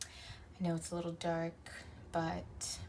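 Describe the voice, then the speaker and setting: A soft-spoken woman amid noticeable background noise. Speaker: tarot reader. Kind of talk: tarot reading.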